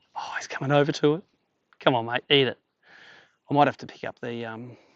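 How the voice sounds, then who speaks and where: Very fast speech comes from a man with an Australian accent. His fairly high voice keeps a fairly even intonation. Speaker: fishing content creator. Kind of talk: live fishing commentary. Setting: on a boat, outdoors.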